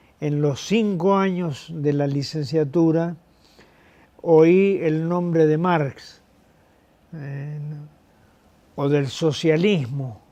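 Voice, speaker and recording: This man has a fairly high pitch and a dark, mellow tone, speaking very slowly with ordinary pitch variation. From Argentina, Mendoza. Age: 70s. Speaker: retired professor. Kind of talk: interview. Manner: halting, many fillers.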